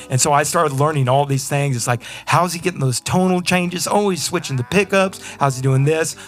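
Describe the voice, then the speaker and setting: With a Texan accent, a man talks at a fairly quick pace with hardly any pauses, his fairly high pitch showing ordinary variation. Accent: Texan American. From Texas. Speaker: blues rock guitarist. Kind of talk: casual interview chat. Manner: fast; animated.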